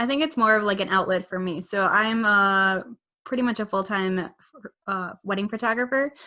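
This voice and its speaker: In a strong Midwest accent, a woman speaks at a moderate pace and medium pitch, her tone bright and sharp, with ordinary pitch variation. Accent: thick Midwest. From US Midwest. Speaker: motorcycle vlogger and wedding photographer. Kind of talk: casual chat.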